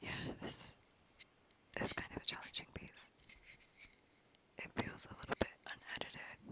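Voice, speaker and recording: With long pauses coming often, a whispered voice moves at a moderate speed against noticeable background noise. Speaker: ASMR creator, literature student. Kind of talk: ASMR whispered reading and rambling. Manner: whispered, soft, rambling.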